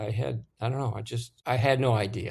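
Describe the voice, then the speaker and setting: Somewhat breathy, a man with an American accent speaks at a fairly quick pace, his medium pitch showing ordinary variation. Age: 70s. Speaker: war veteran, former military lawyer. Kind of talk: interview answer.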